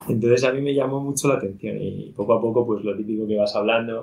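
A man's medium-pitched, a plain, everyday voice at a fairly quick pace with fairly even intonation. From Madrid, Spain. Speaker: startup co-founder. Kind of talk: casual interview.

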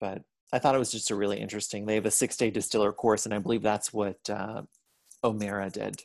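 A man with an American accent speaks at a very fast pace and a fairly low pitch. His intonation is monotone and flat against a quiet background. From Pittsburgh area, Ohio roots. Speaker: podcast co-host. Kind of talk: casual chat.

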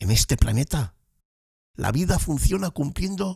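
A man at a fairly slow pace with vocal fry, the sound dry and close with no echo. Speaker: podcast host. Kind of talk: podcast monologue.

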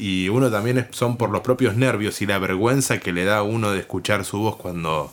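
A man speaks at a moderate pace. His pitch is fairly low and his intonation fairly even. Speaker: radio announcer. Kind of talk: casual chat. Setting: home. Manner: formal.

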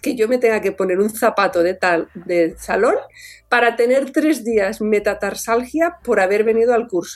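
A woman with a strong Catalan accent speaks at a fairly high pitch with ordinary pitch variation. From Catalonia, Tarragona. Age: 40s. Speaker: orthopaedic surgeon and author. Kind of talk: interview. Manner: animated.

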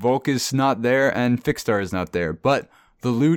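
It is a natural reading voice. Pitch variation is ordinary.

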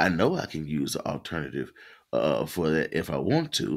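The voice has a bright, sharp tone and vocal fry, with an American accent. Its pitch swings very widely. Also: man. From US South. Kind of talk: casual live call-in chat.

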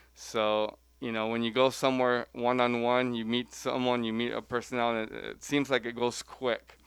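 A man with an American accent speaks in a medium-pitched monotone with flat intonation. He hardly pauses, and the background is quiet. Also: moderate pace. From Central California (Selma). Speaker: college tennis coach. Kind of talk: interview. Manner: halting, many fillers.

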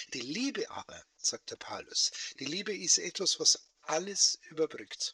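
With a Bavarian accent, a man speaks at a high pitch in a bright, sharp tone. The sound is dry and close, with no echo. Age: 60s. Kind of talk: casual interview chat. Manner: animated. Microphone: AI-enhanced audio from poor recording.

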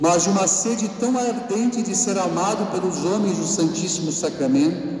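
A solemn-toned man at a moderate pace, with noticeable background noise behind him. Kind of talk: sermon. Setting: church. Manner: formal, solemn, measured pastoral delivery.

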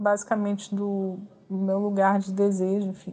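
A woman speaks at a medium pitch. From Brazil, Rio de Janeiro. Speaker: author. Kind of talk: interview answers. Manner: halting, with repeated fillers.

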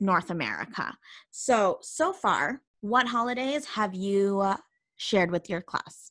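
With a Canadian accent, a woman with a normal speaking voice talks at a medium pitch with ordinary pitch variation, on a very clean recording with a silent background and a dry, close sound with no echo. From Canada. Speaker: podcast host and language assistant. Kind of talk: casual chat.

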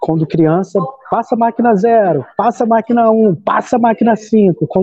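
This man's voice is high-pitched, and his intonation is lively. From Brazil, Baixada Fluminense (Rio de Janeiro). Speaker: artist and educator. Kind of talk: casual chat.

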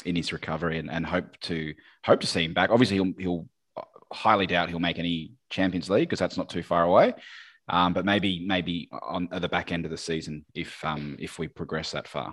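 A man talks fairly quickly at a very deep, low pitch. His intonation stays fairly even on a very clean recording with a silent background. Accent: Australian. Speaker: podcast host. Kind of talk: casual chat.

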